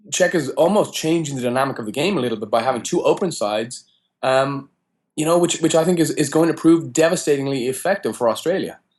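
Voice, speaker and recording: A man talks very fast in an Irish accent, his pitch fairly high with ordinary variation. The background is quiet. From Ireland. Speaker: college rugby coach. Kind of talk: interview.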